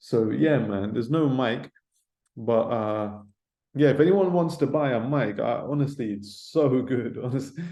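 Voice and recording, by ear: A man's dark, mellow voice at medium pitch, with ordinary pitch variation and a fairly slow pace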